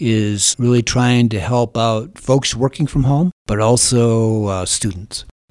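An unremarkable speaking voice belongs to a man with an American accent. He talks at a fairly slow pace with ordinary pitch variation and hardly any pauses. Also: medium pitch for a man. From Holland, Michigan. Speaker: utility executive. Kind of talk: casual interview.

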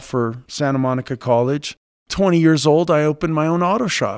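Recorded very cleanly with a silent background and a dry, close sound with no echo, a man speaks in a plain, everyday voice at a fairly high pitch. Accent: American. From California (Los Angeles, later Chico). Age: 50s. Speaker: baseball coach. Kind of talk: interview.

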